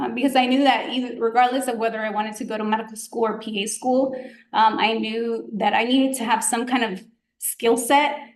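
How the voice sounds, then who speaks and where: Speaking with a Spanish accent, a woman with a fairly high pitch talks at a fairly quick pace in a monotone, flat intonation, with audible room echo. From Georgia, US South (grew up there undocumented from childhood). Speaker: physician, guest speaker. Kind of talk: presentation to students. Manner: casual, many fillers (um, like).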